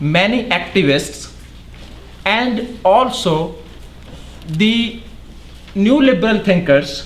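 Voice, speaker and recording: A man's high voice in a non-native accent, very slow, with lively intonation, audible room echo and noticeable background noise. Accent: noticeable foreign. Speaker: academic researcher. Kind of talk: lecture.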